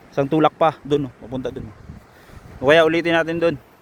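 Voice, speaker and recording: Animated and fairly quick, a man speaks in a fairly high voice, recorded dry and close with no echo. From Philippines, Santa Catalina. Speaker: vlogger. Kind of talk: casual vlog narration. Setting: outdoors by the sea.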